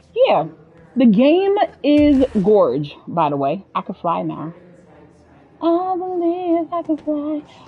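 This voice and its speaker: A woman talks at a very slow pace, with long, frequent pauses. Noticeable background noise can be heard. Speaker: video game streamer. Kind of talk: casual live gameplay commentary. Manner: animated.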